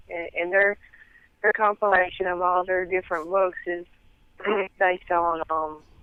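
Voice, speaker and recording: She speaks in a strong Southern US accent at a moderate pace. This woman's medium pitch stays monotone and flat. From US South. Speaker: interview guest, researcher of religious topics. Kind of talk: interview. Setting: phone call. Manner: careful to speak clearly.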